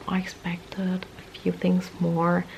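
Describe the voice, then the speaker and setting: Quiet speech from a woman comes through noticeable background noise. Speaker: vlogger. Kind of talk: casual vlog monologue. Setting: at home at night.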